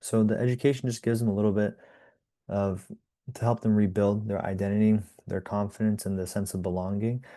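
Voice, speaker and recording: Against a quiet background, a man speaks fairly quickly at a fairly low pitch. His tone is dark and mellow, his intonation monotone and flat. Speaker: nonprofit program manager. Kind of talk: interview. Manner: casual, with many fillers and restarts.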